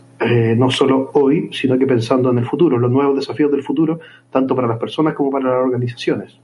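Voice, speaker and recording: Loudness stays very even as a man with a Chilean accent speaks at a very fast pace. His pitch is medium. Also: fairly even intonation. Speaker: listener, master's student. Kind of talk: recorded voice message.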